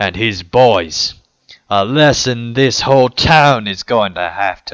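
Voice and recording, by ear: Ordinary pitch variation marks this natural-voiced reading aloud, heard against a quiet background.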